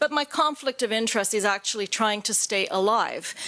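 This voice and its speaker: Over noticeable background noise, a woman with a Canadian accent speaks at a moderate pace and fairly high pitch with ordinary pitch variation. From Canada. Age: 50s. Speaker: patient advocate. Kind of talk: conference talk.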